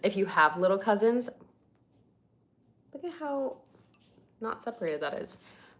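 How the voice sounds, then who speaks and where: A woman speaks in an animated tone with an American accent. Her pitch swings very widely. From Northern California. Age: 20s. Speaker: lifestyle content creator. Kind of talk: casual livestream chat. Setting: livestream.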